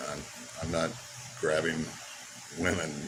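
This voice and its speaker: A man speaks with an American accent. There is noticeable background noise and audible room echo. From United States. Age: 60s. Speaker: expat. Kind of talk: personal testimony. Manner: halting, many fillers and repeats.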